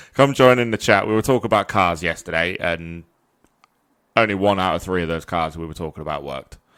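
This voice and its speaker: A man with a very deep, low voice talks at a very fast pace with ordinary pitch variation. His loudness swings widely in a very clean recording with a silent background. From Yorkshire, northern England. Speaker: podcast co-host. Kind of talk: casual chat.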